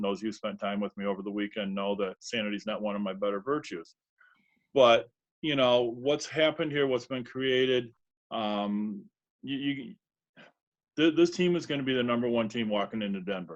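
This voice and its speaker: A man's ordinary speaking voice at medium pitch, fairly quick in pace, with lively intonation. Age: 60s. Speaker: sales team member. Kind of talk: testimony.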